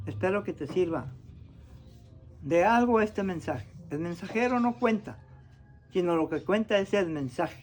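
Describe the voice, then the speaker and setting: Pitch swings very widely while the speaker keeps a fairly slow pace. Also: man. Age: 80s+. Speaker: traditional healer. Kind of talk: demonstration talk.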